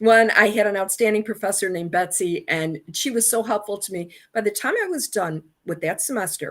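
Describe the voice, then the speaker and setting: A woman speaks in a normal speaking voice at a fairly quick pace and a medium pitch. Her pitch varies in an ordinary way, and the recording is very clean with a silent background. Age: 60s. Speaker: alumna and communications professional. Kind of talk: interview.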